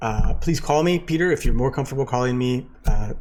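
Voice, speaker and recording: With an American accent, a man speaks with ordinary pitch variation amid audible room echo. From United States. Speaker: university lecturer. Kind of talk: lecture. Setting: recorded at home in living room. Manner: casual, with frequent fillers.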